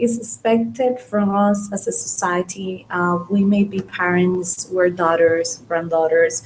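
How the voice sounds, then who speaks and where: A woman speaks at a fairly slow pace amid noticeable background noise. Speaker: spiritist study speaker. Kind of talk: religious study talk. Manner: varying pace; hesitant, many fillers.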